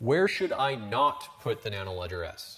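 A booming, put-on character voice from a man, medium in pitch, with very wide pitch swings and a moderate pace. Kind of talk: tutorial. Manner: booming, exaggerated.

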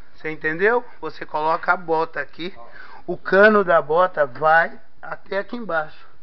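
A man's high-pitched voice rises and falls sharply in loudness. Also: ordinary pitch variation, moderate pace. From Brazil. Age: 50s. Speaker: cobbler and video channel host; video channel host. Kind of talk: guided walkthrough video. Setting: touring a technical school workshop. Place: workshop. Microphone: phone near.

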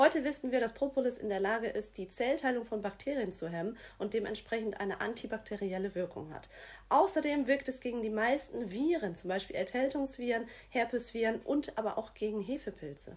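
Her pace is fairly quick. The woman's intonation is lively. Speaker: presenter. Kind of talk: promotional explainer. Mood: friendly, smiling. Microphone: phone near.

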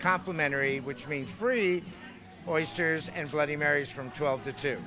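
With noticeable background noise, a man speaks at a moderate pace. No echo, just a dry sound. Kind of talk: interview answer. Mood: friendly, promotional. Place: bar. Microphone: handheld.

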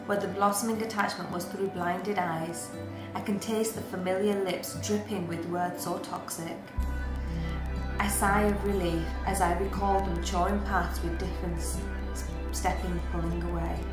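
A woman talks at a moderate pace while clear music plays in the background. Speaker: spoken word poet. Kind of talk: poetry reading. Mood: emotional, reflective, hurt. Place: home room. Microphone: webcam.

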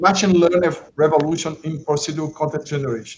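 The speaker is a man. He talks in a Portuguese accent. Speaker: conference moderator. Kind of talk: formal introduction. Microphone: video call.

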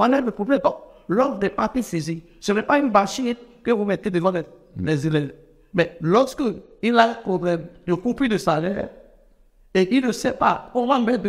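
A high-pitched man at a moderate pace, with ordinary pitch variation, long, frequent pauses and a quiet background. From Benin. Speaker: teachers' union leader. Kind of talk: TV interview. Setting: TV studio. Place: studio. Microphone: lapel.

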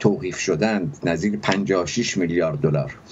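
Over light background noise, a man talks fairly slowly in a plain, everyday voice. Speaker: economics professor guest. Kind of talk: interview answer. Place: home room. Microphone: video call.

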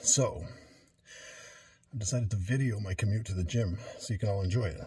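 The voice is somewhat breathy, moving at a fairly quick pace with ordinary pitch variation. The sound is dry with no echo, over light background noise. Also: man. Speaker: home gym vlogger. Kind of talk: casual vlog chat. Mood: wry, good-humored. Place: home room. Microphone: phone near.

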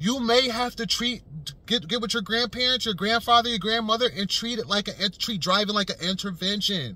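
A man uses a raised, projected voice with a bright, sharp tone and ordinary pitch variation. The sound is dry with no echo. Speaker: vlogger. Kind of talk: casual vlog commentary. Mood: earnest, persuasive. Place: car. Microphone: phone near.

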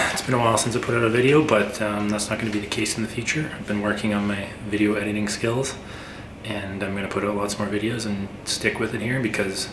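Over noticeable background noise, a man with a fairly low pitch talks at a very fast pace with fairly even intonation. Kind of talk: casual vlog chat. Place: workshop.

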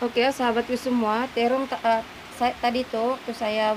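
A woman keeps her intonation fairly even while noticeable noise carries on behind her. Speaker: home cook vlogger. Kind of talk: casual cooking tutorial chat. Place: kitchen. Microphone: phone near.

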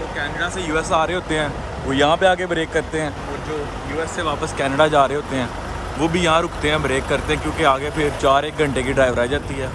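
A man speaks at a moderate pace, the sound dry with no echo. Noticeable background noise runs underneath. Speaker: truck driver vlogger. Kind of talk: casual vlog chat. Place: street. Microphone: phone near.

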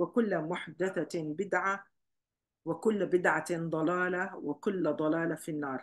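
The background is quiet. The speech runs at a fairly slow pace with ordinary pitch variation. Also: woman. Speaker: religious class teacher. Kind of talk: lecture. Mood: warm, smiling. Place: home room. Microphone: webcam.

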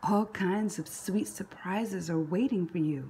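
Slowly, a woman speaks with a fairly low pitch, a slightly mellow tone, a husky, rough edge and ordinary pitch variation.

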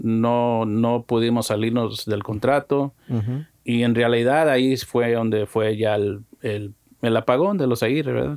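Against a quiet background, a man talks at a very slow pace with fairly even intonation. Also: dry sound with no echo. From Mexico-born, raised in the US. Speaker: musician and music producer; guest. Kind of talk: casual interview chat. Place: studio. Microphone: studio mic.

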